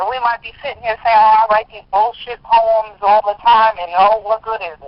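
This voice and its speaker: Her pitch fairly high, a woman speaks in a strong US East Coast accent. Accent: heavy US East Coast. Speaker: spoken word poet. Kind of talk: interview conversation.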